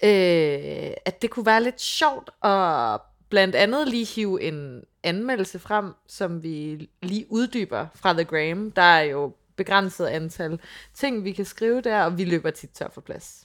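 A woman's medium-pitched voice at a very slow pace, with lively intonation and big swings in loudness. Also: very clean recording, silent background. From Funen, Denmark. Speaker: podcast co-host. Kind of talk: casual chat. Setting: on location in London.

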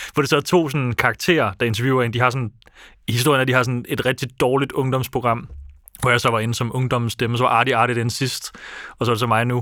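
Over a silent background in a very clean recording, the voice moves at a very fast pace with a bright, sharp tone and fairly even intonation. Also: man, medium pitch for a man. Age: 20s. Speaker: podcast co-host. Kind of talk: casual chat. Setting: studio.

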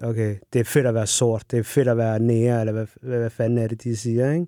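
On a very clean recording with a silent background, a man's dark, mellow voice at medium pitch moves at a moderate pace in a flat monotone, the sound dry and close with no echo. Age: 30s. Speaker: refrigeration technician and runner. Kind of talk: casual chat. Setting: studio.

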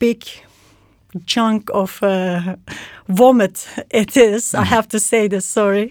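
A woman with a Turkish accent speaks at a fairly high pitch with fairly even intonation. The recording is very clean, with a silent background. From Turkey (Istanbul). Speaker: fashion designer. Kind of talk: casual chat. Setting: studio.

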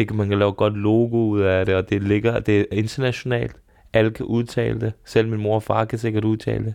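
A man at a moderate pace, fairly low in pitch, with monotone, flat intonation over a quiet background. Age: 30s. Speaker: podcast host. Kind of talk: casual chat. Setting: studio.

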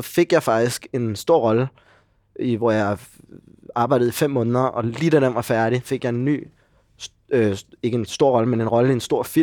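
Recorded very cleanly with a silent background and a dry, close sound with no echo, a man speaks at medium pitch with ordinary pitch variation and a fairly slow pace. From Denmark, Copenhagen area (Gladsaxe). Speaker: actor. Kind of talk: casual chat. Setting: pub, morning.

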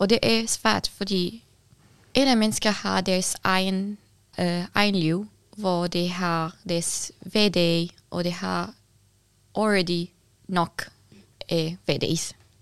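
With long, frequent pauses, a woman of medium pitch speaks at a very slow pace and fairly even intonation on a very clean recording with a silent background. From Syria. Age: young. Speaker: activist and building designer. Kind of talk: interview. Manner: halting.

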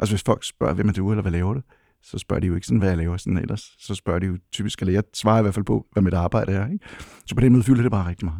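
The recording is very clean, dry and close, with a silent background and no echo. A man with a dark, mellow tone and fairly low pitch speaks very fast, using ordinary pitch variation. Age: 60s. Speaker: HR professional. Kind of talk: interview. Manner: halting.

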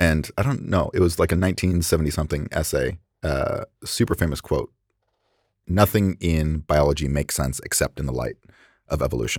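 The recording is dry and close with no echo, as a man with a very deep, low pitch and vocal fry speaks at a moderate pace. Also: ordinary pitch variation, very clean recording, silent background. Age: 30s. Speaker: chef and food scientist. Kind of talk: casual chat.

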